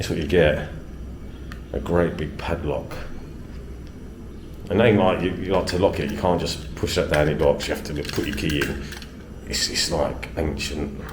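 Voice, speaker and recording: This man has a very deep, low voice and a southern English accent, talking at a moderate pace with long, frequent pauses. Audible room echo and noticeable background noise fill the recording. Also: ordinary pitch variation. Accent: southern English (London-ish). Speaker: travel vlogger. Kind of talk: casual vlog narration.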